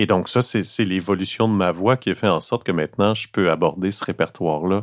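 A Quebec accent with ordinary pitch variation, dry and close with no echo, on a very clean recording with a silent background. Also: man. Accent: Québécois French. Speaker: actor and opera baritone. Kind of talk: casual chat. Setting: in a café.

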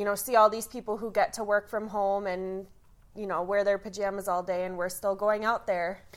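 In a very clean recording with a silent background, a woman with an American accent talks fairly quickly at medium pitch with a monotone, flat intonation. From Detroit area, Michigan. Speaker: lab technician. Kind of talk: casual interview chat.

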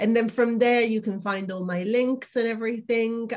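A woman speaks with an Italian accent. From Italy. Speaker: emotional wellness coach. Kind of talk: interview testimony.

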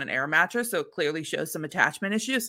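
A woman with an American accent, medium pitch, lively intonation and a bright, sharp tone, on a very clean recording with a silent background. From US Midwest. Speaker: podcast host. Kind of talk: casual chat.

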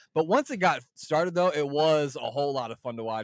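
A man at a very fast pace, ordinary pitch variation, and a dry, close sound with no echo. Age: 30s. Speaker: wrestling podcast guest. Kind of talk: casual chat.

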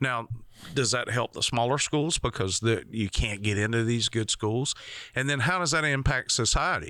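A man with a Southern US accent speaks at a moderate pace and medium pitch, with ordinary pitch variation. His tone is bright and sharp, his loudness very even. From rural Georgia, US South. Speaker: podcast host. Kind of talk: casual chat.

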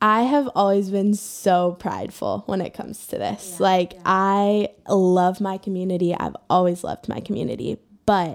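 An American accent at a moderate pace. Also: woman. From Ohio, US Midwest. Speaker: ministry staff member sharing anxiety story. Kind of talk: personal testimony.

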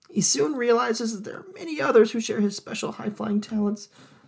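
A put-on character voice, female-sounding, at a medium pitch for a woman.

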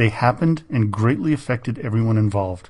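At a fairly quick pace, a somewhat breathy man with a medium pitch and ordinary pitch variation talks against a quiet background. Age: 50s. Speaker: history podcast host. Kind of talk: scripted narration.

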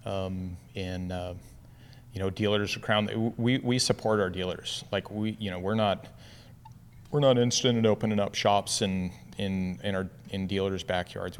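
His pitch sits fairly low. The man keeps a moderate pace. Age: 50s. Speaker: van suspension shop owner. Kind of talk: casual interview. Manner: halting, many fillers.

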